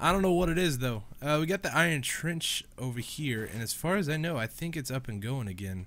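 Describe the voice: A man talks at a fairly quick pace and medium pitch. His voice is nasal and fairly bright, with lively intonation.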